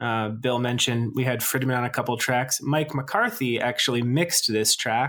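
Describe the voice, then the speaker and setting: With an unremarkable speaking voice, a man speaks at a moderate pace and with fairly even intonation. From United States. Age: 30s. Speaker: podcast host, music fan. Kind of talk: casual chat.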